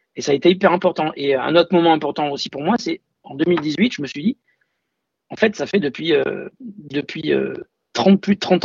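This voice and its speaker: High pitch from a man, with typical ups and downs in tone. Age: 40s. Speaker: music fan. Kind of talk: testimony.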